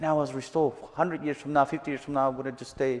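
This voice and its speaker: A man speaks in a fairly high pitch with a monotone, flat delivery. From Mexico, Chihuahua. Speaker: missionary. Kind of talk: testimony. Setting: church service with live audience.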